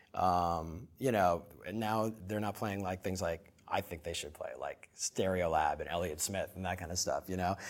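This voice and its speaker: A man with an American accent in a normal speaking voice, at a moderate pace, on a very clean recording with a silent background. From US Midwest, Minnesota. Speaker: music publication founder. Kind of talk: interview.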